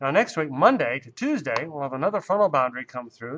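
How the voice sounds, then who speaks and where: A man with a fairly high pitch speaks in an upbeat tone. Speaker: TV meteorologist. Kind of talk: TV weather forecast, direct-to-camera recorded segment. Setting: studio. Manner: upbeat, reassuring forecaster patter with casual asides; brisk run-on delivery with occasional 'uh' fillers. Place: studio. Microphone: lapel.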